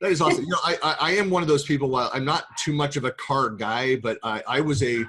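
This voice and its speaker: A man talks very fast with hardly any pauses, his fairly high voice bright and sharp, with ordinary pitch variation. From US West Coast, San Francisco Bay Area. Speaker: tech consultant and podcast host. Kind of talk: casual interview chat. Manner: halting, many fillers and restarts.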